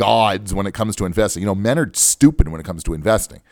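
This is a man's voice in a very clean recording with a silent background. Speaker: radio host and financial advisor. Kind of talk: radio talk show monologue. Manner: halting, tongue-tied.

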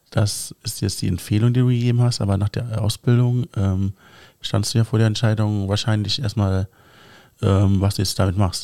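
The tone is dark and mellow, with fairly even intonation at a moderate pace. The sound is dry and close with no echo, and the recording is very clean against a silent background. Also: man, fairly low pitch for a man. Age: 30s. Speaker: podcast host. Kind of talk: casual podcast interview.

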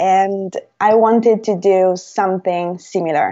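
Delivered at a very slow pace in an Italian accent, the speech has fairly even intonation. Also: woman. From Italy, Rome. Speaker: language teacher and YouTuber. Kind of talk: interview. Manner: hesitant, many fillers.

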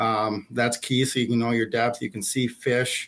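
He speaks in an Upper Midwest accent with monotone, flat intonation. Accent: Upper Midwest (Minnesota). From northern Minnesota. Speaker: fishing store manager. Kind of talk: casual interview. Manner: relaxed, frequent fillers.

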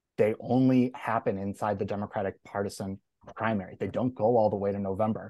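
A man with an American accent talks at a fairly quick pace in a plain, everyday voice, with ordinary pitch variation, a dry, close sound with no echo and a quiet background. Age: 30s. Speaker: political consultant. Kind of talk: debate.

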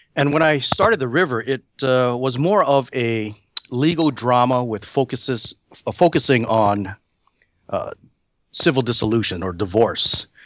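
With lively intonation, a man at medium pitch talks at a moderate pace in a normal speaking voice. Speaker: screenwriter. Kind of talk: interview.

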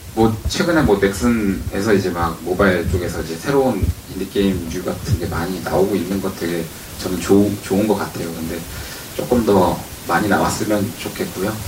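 A man speaks at a moderate pace with a very deep, low pitch and ordinary pitch variation. Noticeable background noise and audible room echo are present. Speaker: indie game studio head. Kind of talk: live panel talk. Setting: stage with audience.

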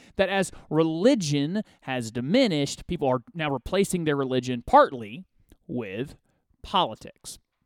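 In an ordinary speaking voice with an American accent, a man talks at a fairly high pitch and a fairly slow pace with lively intonation. The very clean recording has a silent background and a dry, close sound with no echo. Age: 30s. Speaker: radio host. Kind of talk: political commentary monologue.

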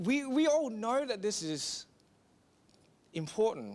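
A man with an Australian accent, fairly slow in pace, with very wide pitch swings. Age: 30s. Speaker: pastor. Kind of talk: sermon.

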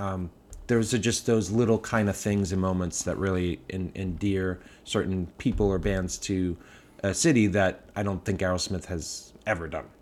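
On a very clean recording with a silent background, a man speaks in a very deep, low voice with fairly even intonation. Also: moderate pace. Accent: Boston. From Boston area, US. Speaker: brewery founder. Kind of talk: casual chat.

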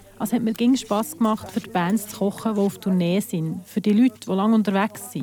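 A woman talks at a fairly brisk clip in a mid-range pitch, her pitch varying normally, with clearly audible noise in the background. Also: hardly any pauses. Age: 40s. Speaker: volunteer cook for bands. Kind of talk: interview testimony.

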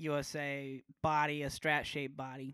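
A man speaks with an American accent in a bright, sharp tone at a fairly slow pace. The recording is very clean, with a silent background. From Nebraska, Omaha. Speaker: metal guitarist. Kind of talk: casual chat.

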